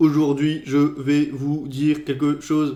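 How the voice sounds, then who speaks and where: Using a put-on, robotic character voice, a man speaks at a fairly slow pace with a fairly high pitch. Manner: mechanical.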